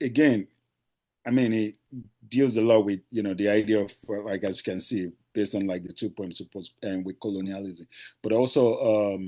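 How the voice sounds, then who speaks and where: In a Nigerian accent, a man with a fairly low pitch and a dark, mellow tone speaks at a moderate pace with ordinary pitch variation. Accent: Nigerian (Yoruba) English. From Nigeria (Lagos). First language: Yoruba. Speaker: poet. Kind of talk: poetry reading. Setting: video call. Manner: halting, many fillers.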